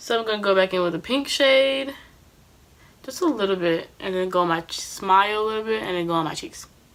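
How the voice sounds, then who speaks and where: With a normal speaking voice, a woman at a medium pitch talks at a fairly quick pace with lively intonation. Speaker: beauty vlogger. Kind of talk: tutorial. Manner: casual.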